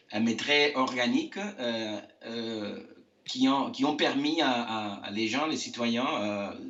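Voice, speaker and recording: The speaker goes at a very slow pace with ordinary pitch variation. There is audible room echo. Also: man. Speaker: architect. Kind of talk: interview. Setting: video call from home. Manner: halting, many hesitations.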